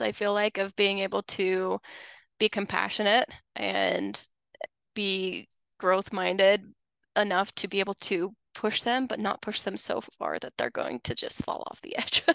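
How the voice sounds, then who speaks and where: A woman talks at a fairly slow pace. The sound is dry and close with no echo, over a quiet background. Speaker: podcast host. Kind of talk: casual interview chat.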